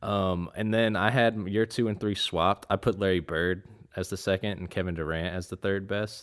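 In an American accent, a man with an ordinary speaking voice and a fairly low pitch talks at a moderate pace with fairly even intonation. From North Carolina, Raleigh. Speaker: basketball fan guest. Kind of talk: casual chat.

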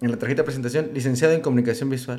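A man speaks with a Mexican accent. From Michoacán, Mexico (Uruapan). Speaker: tattoo artist. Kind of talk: casual chat.

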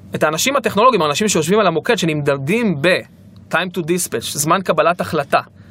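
Delivered at a very fast pace, the voice has a bright, sharp tone and lively intonation. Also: man. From Israel, Ashdod. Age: 30s. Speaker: startup founder and CEO. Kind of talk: interview. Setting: studio.

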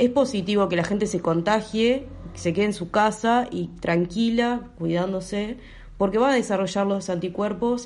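Speaking in a plain, everyday voice, a woman keeps a medium pitch, fairly even intonation and a moderate pace. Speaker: photographer and medical student. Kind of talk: interview.

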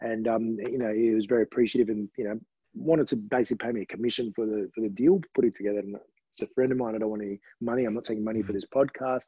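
With an Australian accent, a man speaks at a very fast pace, his medium pitch held in fairly even intonation. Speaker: charity auctioneer. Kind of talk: podcast interview. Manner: hesitant, many fillers.

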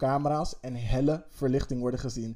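The voice has a dark, mellow tone and a flat, monotone delivery. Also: man. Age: 30s. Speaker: podcast co-host. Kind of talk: casual chat.

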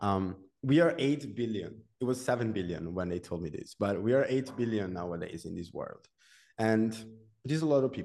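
A man with an Italian accent, medium pitch, dark, mellow tone and lively intonation at a fairly quick pace. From Italy, Genoa. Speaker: developer and content creator. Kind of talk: interview.

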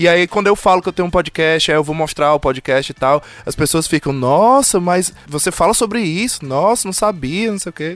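A man talks at a moderate pace in a high pitch with lively intonation and hardly any pauses. The sound is dry and close with no echo. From Ceará, Brazil. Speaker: podcaster living abroad. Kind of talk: casual chat.

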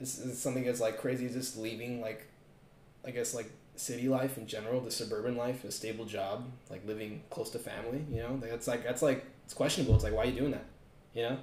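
Over noticeable background noise and audible room echo, a man with an American accent talks at a very fast pace with a medium pitch and monotone, flat intonation. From Southern California, West Covina. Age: 20s. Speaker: college student. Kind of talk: casual chat.

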